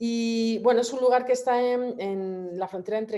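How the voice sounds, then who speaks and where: A woman's fairly high voice has a dark, mellow tone and ordinary pitch variation. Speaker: photographer. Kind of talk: presentation of own work at a public talk. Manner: fast; hesitant, many repetitions and fillers.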